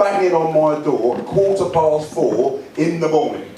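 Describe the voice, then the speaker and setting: A man speaks with a high pitch. Noticeable background noise runs underneath. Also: ordinary pitch variation, fairly slow pace. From England. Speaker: stand-up comedian and after-dinner speaker. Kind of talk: stand-up comedy set to a live audience.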